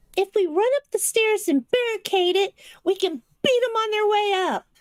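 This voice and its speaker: This squeaky, put-on character voice moves at a moderate pace. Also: female-sounding voice, extremely high pitch for a woman. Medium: actual play. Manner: fast, excitable.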